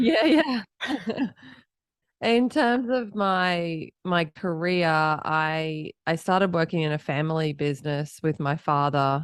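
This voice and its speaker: In an Australian accent, a woman speaks very slowly at a fairly low pitch. Her intonation is lively, and the background is quiet. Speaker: entrepreneur, company founder. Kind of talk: podcast interview.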